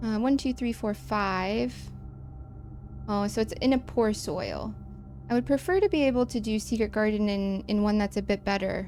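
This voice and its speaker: A woman with a Midwestern American accent at a moderate pace, music in the background. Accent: plain Midwestern American, nearly accent-free. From US Midwest. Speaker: game streamer. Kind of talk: casual gameplay commentary. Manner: chatty, self-interrupting.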